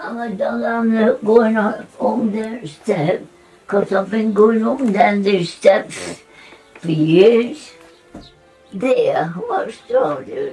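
A woman with a Nottinghamshire accent, very slow, with big swings in loudness and faint music in the background. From English Midlands, Nottinghamshire; English Midlands. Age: 80s+. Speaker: centenarian homeowner; interviewee. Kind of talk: casual chat; interview answer. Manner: halting.

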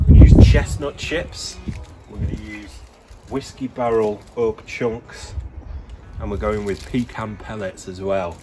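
Music runs underneath the talking. The delivery is moderately paced, with normal rises and falls in pitch. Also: man. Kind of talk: casual cooking tutorial. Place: garden. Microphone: phone near.

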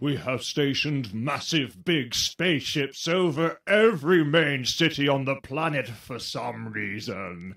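Using a put-on character voice at a medium pitch, a man speaks fairly slowly with hardly any pauses in a very clean recording with a silent background. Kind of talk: comic overacting. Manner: blustering, easily distracted.

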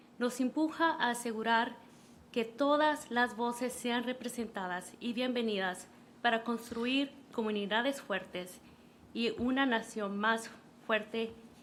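Audible room echo surrounds a woman's voice, high in pitch. She keeps fairly even intonation at a moderate pace. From Los Angeles (Pico Union), born in Honduras. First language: Spanish. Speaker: city councilor. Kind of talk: reading aloud a proclamation in Spanish. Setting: city council meeting. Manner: formal.

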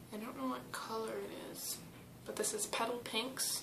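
A woman speaks at a moderate pace. Noticeable background noise can be heard. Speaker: beauty vlogger. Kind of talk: makeup tutorial. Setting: at home with family. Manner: casual with many fillers. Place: bathroom. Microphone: webcam.

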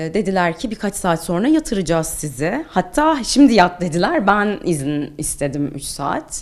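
This woman's voice moves through very wide pitch swings. She speaks at a fairly slow pace. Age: 30s. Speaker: English teacher and cancer survivor. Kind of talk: interview testimony. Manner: hesitant with frequent filler sounds.

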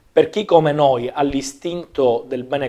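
A man's voice at medium pitch with fairly even intonation. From Sicily, Palermo; Sicily. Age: 30s. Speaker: politician. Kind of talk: political interview. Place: studio.

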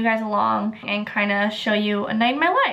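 This is a woman speaking. Her pace is moderate and her pitch variation is ordinary. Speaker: lifestyle vlogger. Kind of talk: casual vlog chat.

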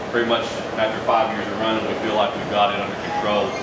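A man at a very fast pace, with audible room echo and loud background noise. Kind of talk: guided tour explanation. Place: workshop. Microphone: camera far.

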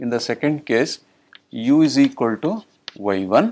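The man's delivery is very slow. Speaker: mathematics lecturer. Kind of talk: lecture. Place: classroom.

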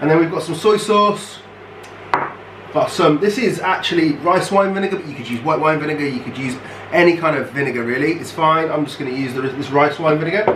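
The man rattles on at a very fast pace with ordinary pitch variation, noticeable background noise behind him. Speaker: youth worker cooking host. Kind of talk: tutorial. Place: kitchen. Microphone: camera far.

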